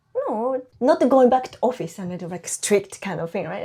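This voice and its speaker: A woman with a Japanese accent talks at a moderate pace. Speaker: housewife and online baking teacher. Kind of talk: interview. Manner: halting.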